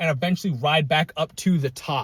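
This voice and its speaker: A man at a fairly quick pace, ordinary pitch variation, in a dry, close sound with no echo. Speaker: fitness vlogger. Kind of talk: casual vlog monologue. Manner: many filler words.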